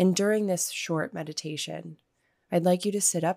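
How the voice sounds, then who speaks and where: A woman is speaking. Her tone is calm and soothing. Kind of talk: guided meditation. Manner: slow, calm, soothing; gentle, measured, with long pauses.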